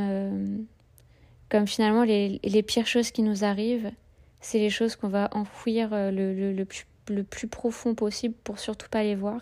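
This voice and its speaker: A woman with a fairly high pitch talks slowly in a flat monotone, leaving long and frequent pauses, on a very clean recording with a silent background. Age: 30s. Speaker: podcaster. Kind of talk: personal monologue. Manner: halting.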